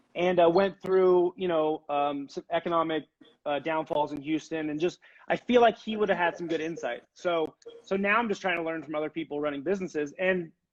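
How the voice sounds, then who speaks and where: Loud and high-pitched, a man speaks at a fairly quick pace with ordinary pitch variation. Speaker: furniture maker and business owner. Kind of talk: casual interview chat. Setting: live video stream.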